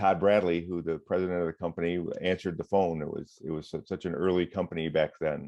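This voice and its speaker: A man with an Upper Midwest accent and a very deep, low voice speaks very fast in a flat monotone, with hardly any pauses. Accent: Upper Midwest American. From Michigan. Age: 60s. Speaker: retired firefighter and water safety educator. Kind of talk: interview.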